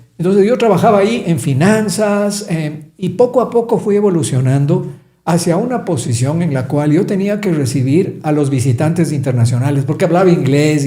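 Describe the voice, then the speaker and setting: A man's fairly high-pitched voice with a dark, mellow tone and audible room echo. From Ecuador, Quito. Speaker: business coach. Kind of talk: podcast interview.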